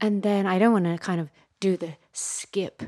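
On a very clean recording with a silent background, a woman with a normal speaking voice talks at a fairly slow pace. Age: 40s. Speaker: podcast host. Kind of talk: interview conversation. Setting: studio.

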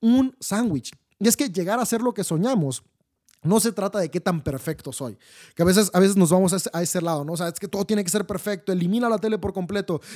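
On a very clean recording with a silent background and a dry, close sound with no echo, a man with a high pitch and a dark, mellow tone speaks very fast with ordinary pitch variation. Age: 30s. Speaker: podcast host and life coach. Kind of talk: solo motivational talk. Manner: enthusiastic.

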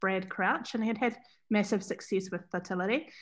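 Against a quiet background, a woman speaks at a medium pitch with a New Zealand accent. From New Zealand, Central Otago. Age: 40s. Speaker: fashion brand founder. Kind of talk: interview. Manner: hesitant, many fillers.

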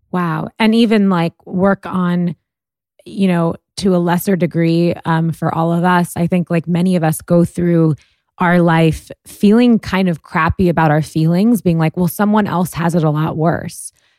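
With a normal speaking voice, a woman talks at a fairly slow pace, fairly low in pitch, with very even loudness and fairly even intonation, in a dry, close sound with no echo. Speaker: podcast host. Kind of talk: interview conversation.

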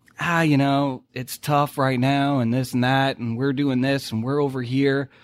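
A man speaks with a Boston accent. He talks at a fairly slow pace. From New England (Boston). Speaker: oil and gas deal finder. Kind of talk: casual interview.

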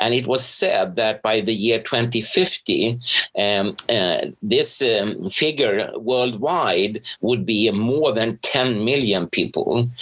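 A man speaks very slowly in a Swedish accent, at a medium pitch with ordinary pitch variation. His loudness stays very even, and there are hardly any pauses. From Sweden. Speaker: professor and researcher. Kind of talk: interview.

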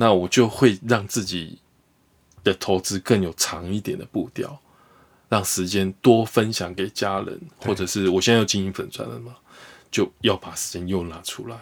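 Moderate pace from a man with a fairly low pitch and ordinary pitch variation. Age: 40s. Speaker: investor, former stockbroker. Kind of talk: interview. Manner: animated.

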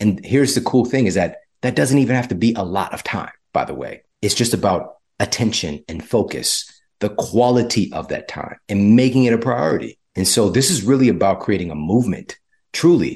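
A man with an American accent speaks at a moderate pace in an ordinary speaking voice, his intonation lively. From US, low-income community. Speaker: health author and podcaster. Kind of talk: interview conversation.

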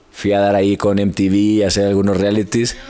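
Noticeable noise sits in the background. The delivery moves at a fairly slow pace. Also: man. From Hermosillo, Sonora, northern Mexico. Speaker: fitness content creator. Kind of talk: casual chat.

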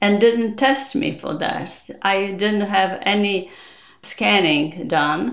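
A woman with a Polish accent speaks at a very slow pace, her intonation lively. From Poland. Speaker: neuroscientist and memoir author. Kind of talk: interview.

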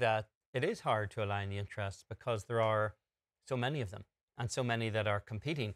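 A man with an unremarkable speaking voice talks at a fairly quick pace, at medium pitch with ordinary pitch variation. The recording is very clean, with a silent background and a dry, close sound with no echo. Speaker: golf show co-host. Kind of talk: studio sports talk and interviews.

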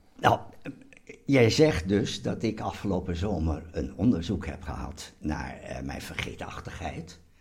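Very slow speech with lively intonation and big swings in loudness comes through over noticeable background noise. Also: man, very deep, low pitch for a man. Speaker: host's father. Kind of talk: casual chat. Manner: halting.

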